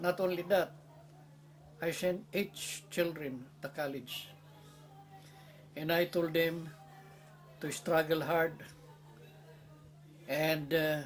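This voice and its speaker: Music plays in the background as a man speaks at a very slow pace with long, frequent pauses. His pitch is fairly high and his intonation fairly even. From Philippines. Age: 80s+. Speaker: war veteran, former prisoner of war. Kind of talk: interview answer.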